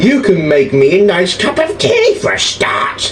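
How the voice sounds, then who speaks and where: Someone performs a put-on character voice at a moderate pace. Loud background noise runs underneath. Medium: read story. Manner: bossy, grumbling.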